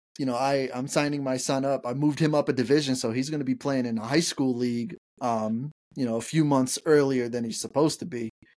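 The pace is fairly quick and the tone slightly mellow. Intonation stays fairly even. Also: man, medium pitch for a man.

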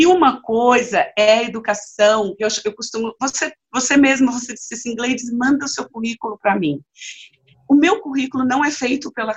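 A woman talks at a fairly quick pace in a fairly high pitch, with ordinary pitch variation. Hers is an unremarkable speaking voice. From Bahia, Brazil (Vitória da Conquista). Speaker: trade unionist and activist. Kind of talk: interview conversation.

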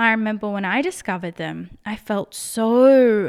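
Here a woman speaks with an Australian accent at a medium pitch. The recording is very clean, with a silent background. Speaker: podcaster. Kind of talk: solo monologue podcast, casual opinion talk. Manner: casual, conversational.

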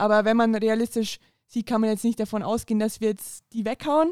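A woman's plain, everyday voice, fairly high in pitch, at a fairly quick pace. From Bavaria, Upper Palatinate. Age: 20s. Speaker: women's football player and police trainee. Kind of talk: casual interview. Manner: laughing often.

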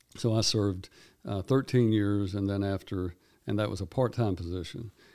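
A man with a Tennessee accent speaks at a fairly low pitch in a dark, mellow tone with fairly even intonation, on a very clean recording with a silent background. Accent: Tennessee Southern US. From Tennessee, Houston County. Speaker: circuit court judge. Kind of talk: interview. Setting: studio.

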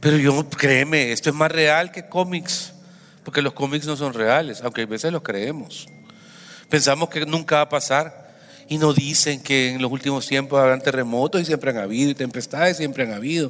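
Music plays in the background as a man talks at a moderate pace. His pitch is fairly high, with ordinary variation. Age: 50s. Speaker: pastor. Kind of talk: sermon.

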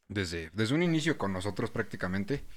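Recorded very cleanly with a silent background, a man speaks with a Mexican accent. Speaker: podcast host. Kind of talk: casual chat.

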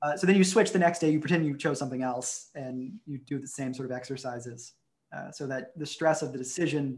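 A man talks at a fairly quick pace, sounding somewhat breathy. His pitch varies in an ordinary way. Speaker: researcher. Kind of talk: interview answer.

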